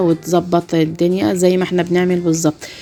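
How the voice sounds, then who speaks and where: A woman with an Egyptian accent speaks at a moderate pace in a fairly low voice, with noticeable background noise behind her. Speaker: YouTuber narrating a home routine video. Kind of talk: casual video commentary. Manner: hesitant, many fillers.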